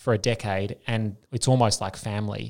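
A man talks with an Australian accent at a medium pitch. The recording is very clean, with a silent background. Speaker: podcast host and public health doctor. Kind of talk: podcast interview.

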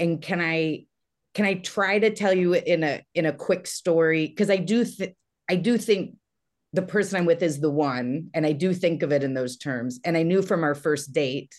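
With an American accent and an unremarkable speaking voice, a woman talks at a moderate pace at a fairly low pitch, with ordinary pitch variation. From Texas. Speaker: comedian and TV writer. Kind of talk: casual chat.

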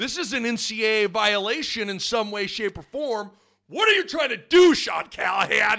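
With an American accent, a man uses a raised, projected voice at a high pitch, lively intonation and a fairly slow pace. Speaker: podcast host.

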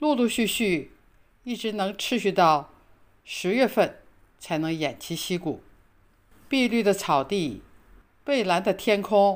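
Her pace very slow and her intonation lively, a woman speaks in a very clean recording with a silent background. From China. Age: 80s+. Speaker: retiree sharing life abroad. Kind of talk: reading aloud. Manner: formal.

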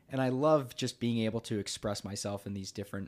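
An unremarkable speaking voice from a man with an American accent, at a fairly quick pace with ordinary pitch variation. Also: very clean recording, silent background. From United States. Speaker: content creator and podcaster. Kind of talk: casual chat.

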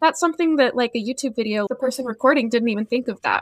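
A woman with an ordinary speaking voice talks at a fairly high pitch with ordinary pitch variation, in a dry, close sound with no echo and a very clean recording with a silent background. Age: 20s. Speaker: fiber artist and small business owner. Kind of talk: casual interview.

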